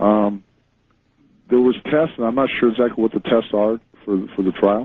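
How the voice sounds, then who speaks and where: A man with an unremarkable speaking voice talks at a moderate pace and medium pitch, his intonation fairly even and his loudness very even. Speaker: author, interview guest. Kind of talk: radio interview answer, true crime story.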